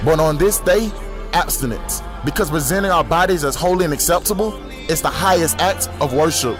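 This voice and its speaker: Music plays in the background while a man speaks at a fairly quick pace. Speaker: spoken word poet. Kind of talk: spoken word poetry performance.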